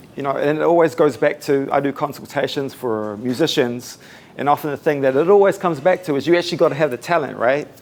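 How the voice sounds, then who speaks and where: Fairly quick pace in a New Zealand accent. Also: man. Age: 20s. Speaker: musician and social media consultant. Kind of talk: talk at a meetup. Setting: room with live audience, no microphone. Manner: casual, uses fillers. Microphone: no microphone, may be hard to hear.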